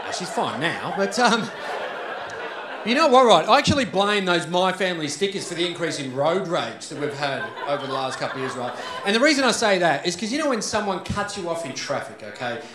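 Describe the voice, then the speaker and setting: The speaker is a man with a high pitch and very wide pitch swings. He talks at a fairly quick pace over noticeable background noise. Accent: Australian. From Australia. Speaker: stand-up comedian. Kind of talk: stand-up comedy set. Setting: live comedy club. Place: stage. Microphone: handheld.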